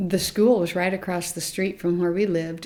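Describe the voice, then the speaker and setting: This woman's voice has a dark, mellow tone and a medium pitch, delivered at a moderate pace with monotone, flat intonation. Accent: American. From US Midwest, rural Nebraska. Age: 70s. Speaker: grandmother interviewed about adoption. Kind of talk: interview, personal testimony. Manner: halting, with restarts.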